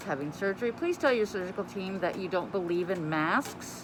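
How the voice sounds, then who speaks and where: A woman talking at a moderate pace over noticeable background noise. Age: 50s. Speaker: nurse. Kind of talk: casual talk to camera.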